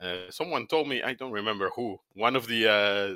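A man with a Spanish accent, fairly low in pitch, with a bright, sharp tone, ordinary pitch variation and a moderate pace. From Argentina, Buenos Aires. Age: 50s. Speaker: technical product manager. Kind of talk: interview. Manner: halting.

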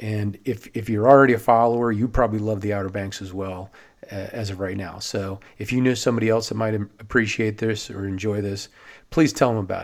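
With an American accent, a man speaks in a normal speaking voice at a fairly low pitch and a fairly quick pace, his intonation fairly even, on a very clean recording with a silent background. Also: big swings in loudness. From Maryland (Silver Spring, near Washington DC). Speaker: podcast host, watersports business owner. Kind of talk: solo podcast monologue.

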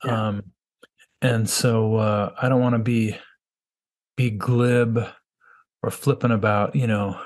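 A man at a very slow pace, monotone and flat, with long, frequent pauses. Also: medium pitch for a man. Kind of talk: interview conversation. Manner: halting, stuttering, repeats words.

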